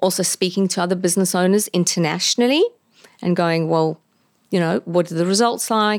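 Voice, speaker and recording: An ordinary speaking voice with fairly even intonation comes through a dry, close sound with no echo on a very clean recording with a silent background. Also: woman. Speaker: laser clinic owner. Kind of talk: podcast interview. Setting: studio.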